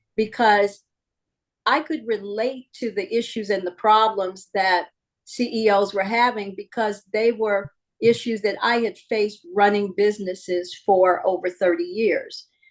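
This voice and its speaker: Using a normal speaking voice, a woman talks at a medium pitch and a fairly slow pace with ordinary pitch variation. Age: 60s. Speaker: sports league executive. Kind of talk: interview.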